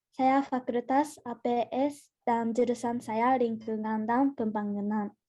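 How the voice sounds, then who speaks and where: Speaking very slowly in a Japanese accent, a woman uses a fairly high pitch with a dark, mellow tone and monotone, flat intonation over a quiet background. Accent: Japanese accent in Indonesian. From Japan (Gifu). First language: Japanese (speaking Indonesian). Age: 20s. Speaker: university student. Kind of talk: self-introduction talk. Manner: halting.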